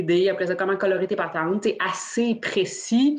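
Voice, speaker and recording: Speaking with a normal speaking voice, a woman keeps a fairly slow pace, a medium pitch, and lively intonation. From Quebec. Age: 30s. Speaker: dice maker. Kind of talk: casual chat.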